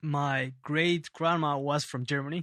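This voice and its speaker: Speaking with a Spanish accent at a fairly slow pace, a man has a bright, sharp tone and ordinary pitch variation, recorded very cleanly against a silent background with a dry, close sound and no echo. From Peru, Lima. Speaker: bass player and teacher. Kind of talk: casual interview. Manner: halting.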